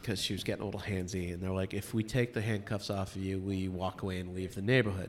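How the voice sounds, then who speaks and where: A man's very deep, low, monotone voice in a Boston accent, flat in intonation, very fast and with hardly any pauses. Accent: Boston-area American. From Massachusetts, Medfield (Metro West Boston). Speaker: bar and restaurant owner. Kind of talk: casual chat.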